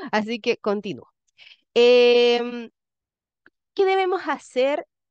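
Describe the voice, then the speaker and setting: A woman with a Chilean accent speaks in a high voice with very wide pitch swings. She takes long, frequent pauses, and the sound is dry and close with no echo against a quiet background. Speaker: education lecturer. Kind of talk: lecture.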